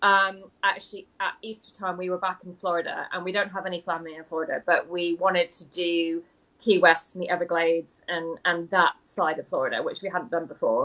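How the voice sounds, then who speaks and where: Speaking at a fairly quick pace with hardly any pauses, the voice has an American accent, monotone, flat intonation and big swings in loudness. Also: woman, medium pitch for a woman. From mixed US and UK upbringing, mostly UK. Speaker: author and interview show host. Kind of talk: casual chat. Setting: live video call.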